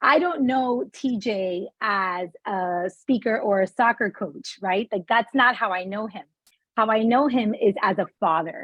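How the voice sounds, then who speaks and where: A woman with an unremarkable speaking voice talks at a fairly slow pace. Her pitch is fairly high, with ordinary variation. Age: 40s. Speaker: interview show host. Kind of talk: interview.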